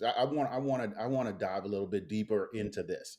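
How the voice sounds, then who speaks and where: With a slight Caribbean accent, a man speaks at a moderate pace and medium pitch, his tone dark and mellow and his pitch varying in an ordinary way, in a very clean recording with a silent background. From Bahamas. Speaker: podcast host. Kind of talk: interview.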